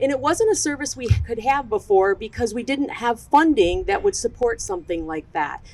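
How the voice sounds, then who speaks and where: A woman speaks at a fairly quick pace. Noticeable noise sits in the background. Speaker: behavioral health program manager. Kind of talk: ceremony speech. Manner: loud.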